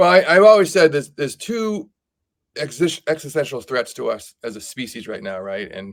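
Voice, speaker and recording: On a very clean recording with a silent background, a man speaks with very wide pitch swings and big swings in loudness. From Boston area, Massachusetts. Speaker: entrepreneur. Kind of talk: podcast interview. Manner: fast; repeats words, halting.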